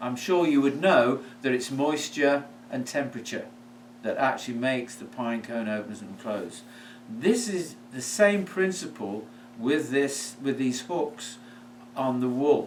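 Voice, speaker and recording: In a British accent, a man of medium pitch speaks at a fairly slow pace, his loudness swinging widely within audible room echo. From United Kingdom. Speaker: product maker and seller. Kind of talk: product presentation. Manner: hesitant, with fillers.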